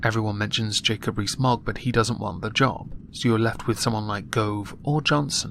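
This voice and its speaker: Speaking at a moderate pace, a man with a British accent uses a medium pitch, fairly even intonation and a bright, sharp tone. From United Kingdom. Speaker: political commentator. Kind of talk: political commentary monologue. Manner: monotone.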